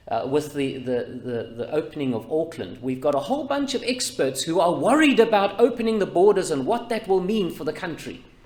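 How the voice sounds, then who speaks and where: Loud and fairly quick, a man with a New Zealand accent talks in a high voice with very wide pitch swings. He hardly pauses, and audible room echo surrounds him. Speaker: pastor. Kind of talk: sermon.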